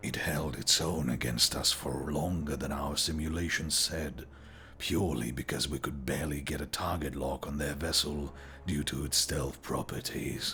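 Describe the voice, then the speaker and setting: A man's put-on character voice, very deep and low, with clear background noise. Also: moderate pace. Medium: read story.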